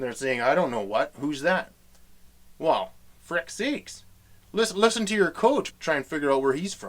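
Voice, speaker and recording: Pausing long and often, a man with a Western Canadian accent speaks in a fairly high pitch that swings very widely. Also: moderate pace. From Western Canada. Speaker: comedy host. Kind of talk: comedic talk to camera. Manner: casual, folksy.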